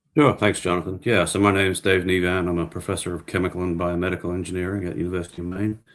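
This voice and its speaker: Over a quiet background, a man with an Australian accent talks at a very fast pace with hardly any pauses, his very deep, low pitch held in a monotone, flat intonation. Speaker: professor. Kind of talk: interview.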